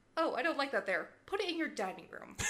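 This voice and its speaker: A woman's raised, projected voice carries a bright, sharp tone and very wide pitch swings. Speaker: podcast co-host. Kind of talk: casual podcast chat.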